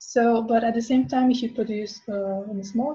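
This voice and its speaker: A woman talks at a fairly quick pace with a Spanish accent and fairly even intonation. Her voice is fairly high in pitch, with a dark, mellow tone. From Venezuela. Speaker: fashion designer and brand founder. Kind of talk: interview.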